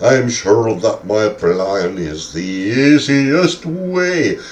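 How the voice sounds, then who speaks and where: A man speaks at a very slow pace in a put-on character voice. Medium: solo performance.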